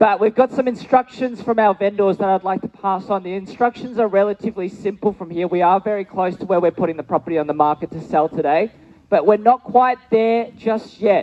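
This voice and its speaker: A high-pitched man with an Australian accent at a fairly quick pace, hardly any pauses, ordinary pitch variation and noticeable background noise. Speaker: auctioneer. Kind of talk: live auction calling.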